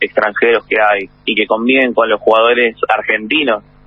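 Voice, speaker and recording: Against noticeable background noise, a man speaks at a moderate pace with a medium pitch. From Buenos Aires, Argentina. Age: 30s. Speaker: baseball player and manager. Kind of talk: interview.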